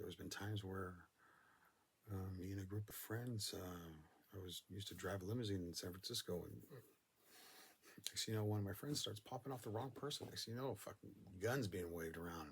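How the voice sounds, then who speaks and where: With an American accent, a man speaks at a fairly quick pace with long, frequent pauses, a fairly low, somewhat breathy voice and ordinary pitch variation. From Northern California. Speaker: storyteller. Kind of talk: casual monologue.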